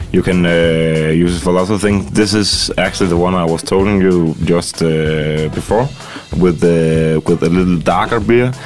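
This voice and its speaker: A man's very deep, low voice over background music, at very even loudness and a fairly slow pace, with ordinary pitch variation. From Denmark. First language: Danish (speaking Russian). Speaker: chef. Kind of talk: interview through interpreter. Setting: studio. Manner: halting.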